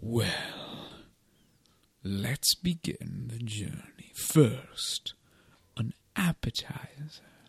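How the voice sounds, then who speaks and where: A man whispers at a very slow pace, leaving long, frequent pauses. The sound is dry and close, with no echo. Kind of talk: comic overacting. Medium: comedy sketch. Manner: grandiose, theatrical, teasing.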